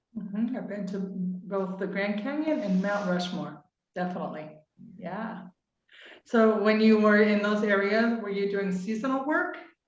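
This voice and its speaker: A woman speaks at a moderate pace with an American accent, her pitch medium with ordinary variation. Audible room echo surrounds her voice. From Utah, US. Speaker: podcast host. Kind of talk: interview.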